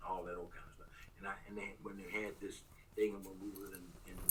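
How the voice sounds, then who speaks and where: Audible room echo surrounds a man speaking with an American accent. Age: 70s. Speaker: spiritual research scholar. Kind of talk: interview conversation.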